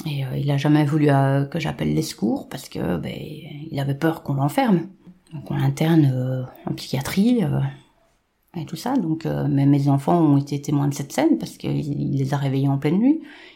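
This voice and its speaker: Somewhat breathy, with a dark, mellow tone and ordinary pitch variation. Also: woman, very deep, low pitch for a woman, moderate pace. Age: 40s. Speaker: domestic violence survivor. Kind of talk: testimony. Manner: halting.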